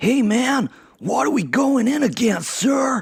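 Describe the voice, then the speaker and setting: A put-on character voice with an American accent, pitched fairly high. The pace is fairly slow. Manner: casual, military questioning.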